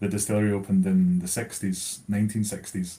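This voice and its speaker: In a Scottish accent, a man with a fairly low pitch and a dark, mellow tone speaks in a monotone, flat intonation. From Scotland, Stirlingshire near Deanston. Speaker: whisky brand account manager. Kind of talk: live online whisky tasting chat. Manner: casual, many fillers.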